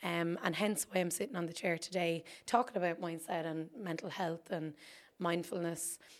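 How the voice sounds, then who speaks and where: A woman with an Irish accent talks at a moderate pace with a fairly low pitch. Her intonation stays fairly even. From Ireland, County Wexford. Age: 20s. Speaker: podcast host. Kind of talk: solo monologue.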